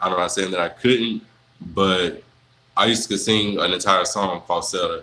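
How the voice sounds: A man speaks at a moderate pace in a low pitch. His tone is bright and sharp.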